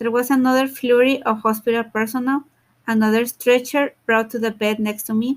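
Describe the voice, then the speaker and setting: A woman's fairly high pitch in a Mexican accent, with monotone, flat intonation. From Mexico. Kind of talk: audiobook reading.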